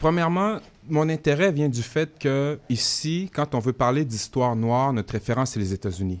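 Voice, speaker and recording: Noticeable background noise sits behind a man's fairly high voice. His intonation is lively. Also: moderate pace. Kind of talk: radio interview. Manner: animated.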